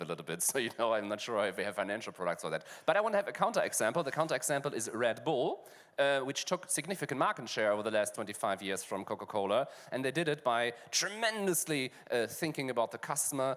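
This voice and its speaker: In a German accent, the speaker talks at a very fast pace. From Germany. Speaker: fintech panel moderator. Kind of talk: panel discussion.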